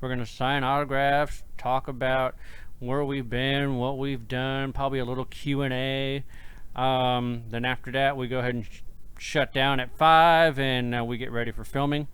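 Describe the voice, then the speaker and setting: A man at medium pitch and moderate pace, monotone and flat in intonation, with audible room echo. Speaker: podcast host and paranormal investigator. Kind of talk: casual chat. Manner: slurring.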